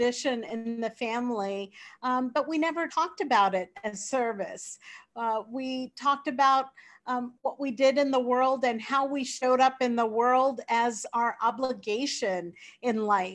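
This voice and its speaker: A woman with an American accent speaks at a fairly slow pace in a high voice with ordinary pitch variation over a quiet background. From Sri Lanka. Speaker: nonprofit CEO. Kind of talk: interview. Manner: hesitant with many fillers.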